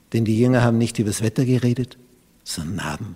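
This man's voice is somewhat breathy. Its pitch sits in the medium range. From Austria. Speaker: pastor. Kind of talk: sermon.

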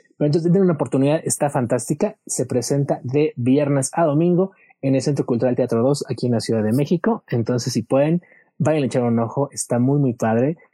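Dry and close with no echo, a man's somewhat breathy voice has a dark, mellow tone and a fairly high pitch with ordinary variation, keeping very even loudness at a fairly quick pace. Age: 30s. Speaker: musical theatre fan guest. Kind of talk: casual chat.

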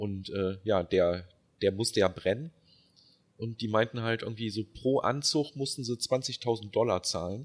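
A man at a fairly slow pace and medium pitch, with ordinary pitch variation and an ordinary speaking voice. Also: very clean recording, silent background. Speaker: film podcast co-host. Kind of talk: casual chat.

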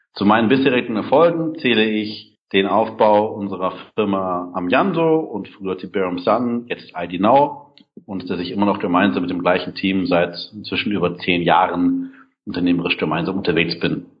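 Lively in intonation, a man with an unremarkable speaking voice talks at a moderate pace and a fairly low pitch. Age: 30s. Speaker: startup founder and event organizer. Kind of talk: interview.

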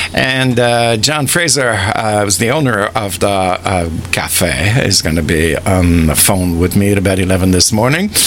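A man's voice with lively intonation and very even loudness, over noticeable background noise. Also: fairly slow pace, hardly any pauses. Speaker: radio host. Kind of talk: relaxed radio DJ patter with song back-announcements and listener shout-outs. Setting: studio. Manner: chatty and rambling, heavy with uh fillers; warm, enthusiastic, laughs easily.

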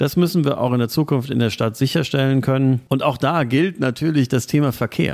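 This man has an ordinary speaking voice at a medium pitch, with ordinary pitch variation and very even loudness. He moves at a fairly quick pace with hardly any pauses. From Germany, Trier. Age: 40s. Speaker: local party chairman. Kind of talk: political interview.

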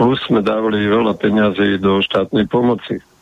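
Over noticeable background noise, a man talks in a fairly low voice with ordinary pitch variation. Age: 70s. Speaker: farmer and former agriculture minister. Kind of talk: radio panel debate.

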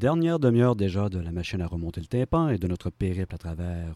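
A man with a Quebec accent speaks in a very deep, low voice with a dark, mellow tone. The recording is very clean, dry and close, with a silent background and no echo. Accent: Québécois French. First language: French. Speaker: radio music show host. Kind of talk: radio music presentation.

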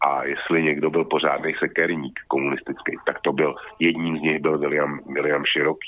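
Fairly slow and monotone, a man speaks with a very deep, low pitch and flat intonation. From Czech Republic. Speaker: web portal founder and commentator. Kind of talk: casual discussion. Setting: Skype call.

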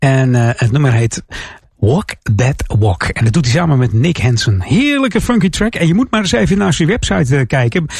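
A man speaks at a medium pitch and a moderate pace, somewhat breathy. His loudness stays very even while his pitch swings very widely. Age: 50s. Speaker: radio DJ. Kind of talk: music radio presenting.

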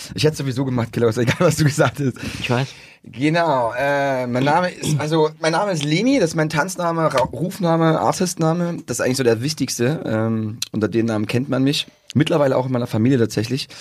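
Fairly quick and animated, a man is talking. His pitch is fairly high and varies an ordinary amount. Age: 30s. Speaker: breakdancer. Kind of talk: casual chat. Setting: studio.

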